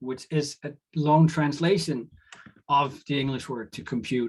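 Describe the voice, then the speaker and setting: Using a fairly high pitch, a man with a Danish accent talks at a moderate pace. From Denmark. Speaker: lecturer. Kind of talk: lecture. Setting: video call. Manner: halting, with many fillers.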